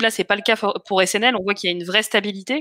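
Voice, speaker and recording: Her bright, sharp tone comes through a dry, close sound with no echo as a woman speaks at a fairly quick pace and a medium pitch. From France, Essonne. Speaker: crowdfunding campaign manager hosting live investor Q&A. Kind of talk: live webinar Q&A moderation. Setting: live online video stream. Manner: hesitant, many fillers.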